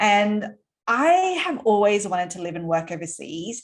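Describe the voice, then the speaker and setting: A woman at medium pitch speaks with an Australian accent and lively intonation. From Australia, Sydney. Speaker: entrepreneur. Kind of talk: interview. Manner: casual, with many fillers.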